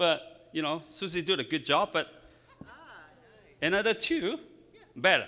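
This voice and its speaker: Bright, sharp tone in a Chinese accent, with lively intonation, a fairly slow pace and long, frequent pauses. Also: man, high pitch for a man. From China. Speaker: floral designer. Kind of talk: live demonstration. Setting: stage with audience.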